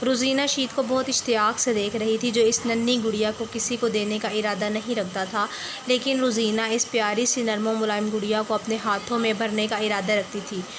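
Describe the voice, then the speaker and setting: A woman with a fairly high pitch talks in a monotone, flat intonation with hardly any pauses over noticeable background noise. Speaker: novel reader and writer. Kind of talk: reading aloud. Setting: closed room at home.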